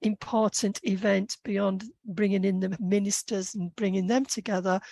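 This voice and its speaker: A woman with a British accent speaks at medium pitch, the sound dry and close with no echo against a quiet background. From UK. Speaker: policy consultant and entrepreneur. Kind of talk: podcast interview. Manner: hesitant, many fillers.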